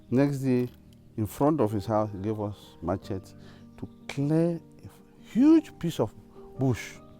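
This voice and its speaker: Music plays in the background as a man speaks at a very slow pace. His pitch is medium and his intonation lively. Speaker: former student. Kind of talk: interview answer.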